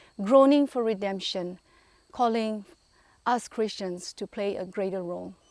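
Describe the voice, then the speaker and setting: Long, frequent pauses break up a woman's medium-pitched speech, which has ordinary pitch variation. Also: fairly slow pace. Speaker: clergy member, religious speaker. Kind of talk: religious talk to camera, reflective sermon-like address.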